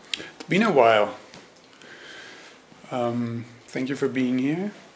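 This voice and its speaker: A man talks very slowly, his medium pitch showing ordinary variation, with noticeable noise behind him. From Germany. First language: German. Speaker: Zen teacher. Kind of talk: dharma talk. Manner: hesitant, many fillers.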